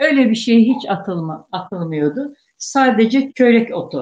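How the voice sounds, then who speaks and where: Very slowly, a woman speaks in a somewhat breathy voice with very wide pitch swings. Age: 60s. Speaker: guest, elder Circassian cheesemaker's relative. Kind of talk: casual interview reminiscence.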